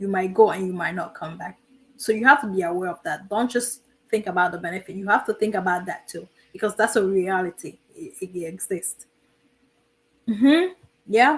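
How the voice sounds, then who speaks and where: A woman with a non-native accent, long, frequent pauses, ordinary pitch variation and big swings in loudness. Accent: foreign. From immigrant to the US. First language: not English. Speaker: military veteran and streamer. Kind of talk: live stream advice talk. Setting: live stream. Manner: repetitive, emphatic.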